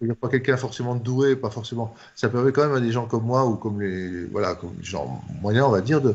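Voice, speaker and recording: At a very fast pace, a man speaks at medium pitch. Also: ordinary pitch variation. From France. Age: 60s. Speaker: doctor and author. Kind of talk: interview. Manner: halting, with frequent fillers and repetitions.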